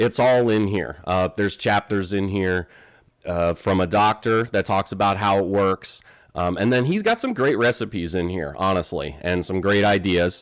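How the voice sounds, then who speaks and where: Speaking at a moderate pace with an American accent, a man has an unremarkable speaking voice, fairly low in pitch with ordinary pitch variation. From North Carolina, Charlotte (born New Jersey). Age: 40s. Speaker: keto cooking video host. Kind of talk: casual vlog introduction. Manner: casual, many fillers.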